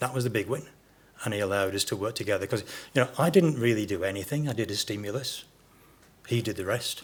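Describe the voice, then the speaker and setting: A somewhat breathy man with a fairly low pitch speaks at a very fast pace, using ordinary pitch variation and long, frequent pauses. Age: 60s. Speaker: podiatrist. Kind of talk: conference Q&A. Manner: halting, many repetitions.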